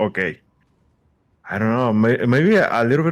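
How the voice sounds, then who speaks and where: The speaker has a non-native accent and lively intonation, on a very clean recording with a silent background. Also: man. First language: not English. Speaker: gamer, viewer. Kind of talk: casual chat. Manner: halting, stammering.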